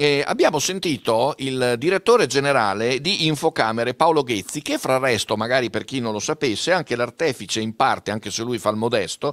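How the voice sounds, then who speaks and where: A man with an unremarkable speaking voice, medium pitch and ordinary pitch variation, at a fairly quick pace over a quiet background. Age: 60s. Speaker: event moderator. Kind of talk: hosted panel discussion. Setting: studio. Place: studio. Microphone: studio mic.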